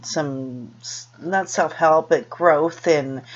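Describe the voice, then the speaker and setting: Noticeable background noise accompanies a voice whose pitch variation is ordinary. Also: woman. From US West Coast, Los Angeles. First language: Spanish. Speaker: vlogger. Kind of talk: personal vlog monologue. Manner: halting, many fillers and restarts.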